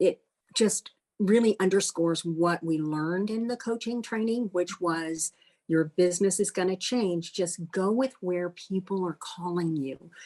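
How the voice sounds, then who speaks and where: Speaking at a fairly slow pace, a woman with a dark, mellow tone and ordinary pitch variation is heard against a quiet background in a dry, close sound with no echo. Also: medium pitch for a woman. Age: 60s. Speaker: life and career coach, retired banker. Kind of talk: interview.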